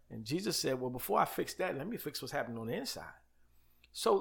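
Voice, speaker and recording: A man's bright, sharp voice with vocal fry and very wide pitch swings. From New York (Queens, Uniondale, Long Island). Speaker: pastor. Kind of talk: casual interview.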